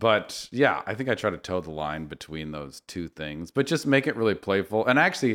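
A man with an American accent and lively intonation, in a very clean recording with a silent background. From Northern California. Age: 40s. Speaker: designer. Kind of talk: casual chat.

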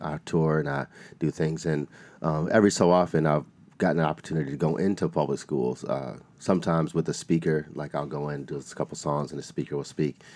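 A man with a very deep, low pitch and vocal fry at a very fast pace, with fairly even intonation. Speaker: school speaker and performer. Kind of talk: interview.

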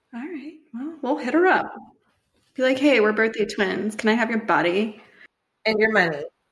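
Somewhat breathy, a woman speaks at a fairly high pitch with lively intonation. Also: moderate pace. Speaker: podcast co-host. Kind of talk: casual chat.

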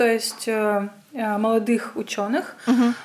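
A high-pitched woman with a Russian accent and ordinary pitch variation. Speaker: physicist and science writer. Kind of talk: casual interview chat.

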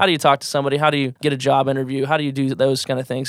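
The recording is very clean, with a silent background. A man with a Midwestern American accent speaks at a fairly high pitch. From US Midwest, rural southwest Iowa. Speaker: student organization president. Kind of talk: casual interview.

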